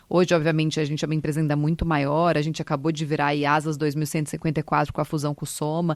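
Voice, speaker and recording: A woman talks very fast in a São Paulo interior accent, with hardly any pauses, over a quiet background. Her pitch is very deep and low, and her intonation is monotone and flat. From Brazil, Ribeirão Preto (São Paulo interior). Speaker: retail company director. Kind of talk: interview.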